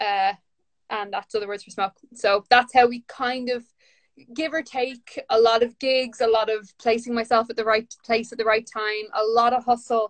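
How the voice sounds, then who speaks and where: A woman with a Dublin accent talks at a moderate pace in a fairly high voice. Her loudness swings widely against a quiet background. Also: fairly even intonation. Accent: Dublin Irish. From Ireland, north Dublin. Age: 30s. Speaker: author and poet. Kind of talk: casual chat. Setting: video call from home during lockdown. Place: home room. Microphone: video call.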